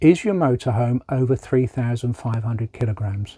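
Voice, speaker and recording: A man with a medium pitch and a dark, mellow tone sounds somewhat breathy. The recording is very clean and dry, close with no echo, over a silent background. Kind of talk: informational talk to camera.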